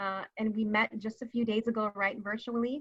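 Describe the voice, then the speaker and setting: A woman with a Californian accent talks at a moderate pace and a fairly high pitch. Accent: Californian American. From San Francisco, US. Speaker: community advocate, founder of an advocacy group. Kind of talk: panel discussion.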